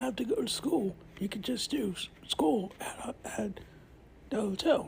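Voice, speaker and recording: A cartoonish character voice speaks at a fairly slow pace with fairly high pitch over clear background noise. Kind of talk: comedy puppet skit. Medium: puppet. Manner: stern, exasperated.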